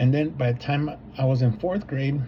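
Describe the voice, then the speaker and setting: With a Spanish accent, a man speaks at a moderate pace in a medium pitch with fairly even intonation, over noticeable background noise. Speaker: substitute teacher and graduate student. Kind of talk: personal reflection for a course assignment. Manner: hesitant, many fillers and repeats.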